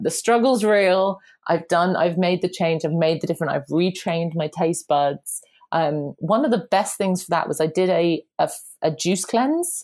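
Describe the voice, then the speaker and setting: A woman speaks at a moderate pace in a fairly low pitch with a strong southern English accent, ordinary pitch variation and very even loudness. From southern England. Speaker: personal trainer and parenting podcaster. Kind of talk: casual interview chat. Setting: remote call.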